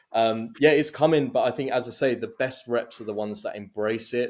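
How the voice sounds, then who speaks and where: A man speaks at a fairly quick pace with a slight Essex accent. His intonation is fairly even, and the recording is very clean with a silent background. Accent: slight London Essex twang. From London/Essex border, England. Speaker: go-to-market director at AI startup. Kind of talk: casual interview chat.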